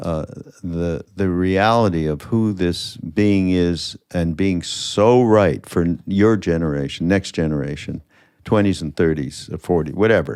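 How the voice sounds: A man's low-pitched voice, clear and smooth with a slightly mellow tone, at a fairly slow pace with ordinary pitch variation, in a very clean recording against a silent background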